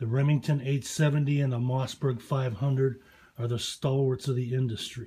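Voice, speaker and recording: This man has a dark, mellow tone and sounds somewhat breathy. His pace is moderate. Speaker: gun owner reviewer. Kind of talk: casual product review rant. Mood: opinionated, profane, challenging. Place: home room. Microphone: phone near.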